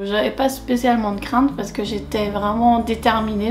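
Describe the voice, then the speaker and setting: Over music in the background, a woman with a fairly high pitch speaks at a fairly slow pace with fairly even intonation and audible room echo. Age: 30s. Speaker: satisfied client giving a testimonial. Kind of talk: testimony. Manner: hesitant, many fillers.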